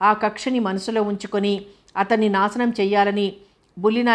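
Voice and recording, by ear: Reading aloud in a natural voice, intonation fairly even throughout.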